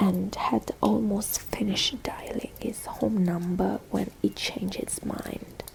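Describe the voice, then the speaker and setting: Noticeable background noise fills the recording. The whispering comes at a very slow pace. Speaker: ASMR artist. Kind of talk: read story. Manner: soft-spoken.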